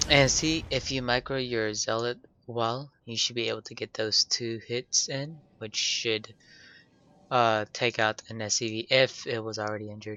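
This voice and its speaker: With music in the background, a man speaks at a moderate pace in a medium-pitched voice. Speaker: video game tutorial creator. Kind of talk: game replay commentary tutorial. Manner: casual, hesitant with fillers.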